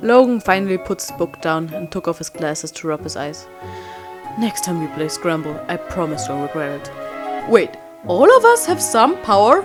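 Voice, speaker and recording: A woman with a non-native accent, music playing in the background. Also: moderate pace, big swings in loudness. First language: not English. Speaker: fan animator narrating and voicing a fanfiction. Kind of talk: read story narration with character dialogue. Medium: read story.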